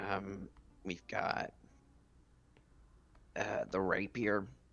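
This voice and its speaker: Putting on a character voice, a man sounds raspy at a fairly low pitch. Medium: actual play. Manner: gruff, matter-of-fact.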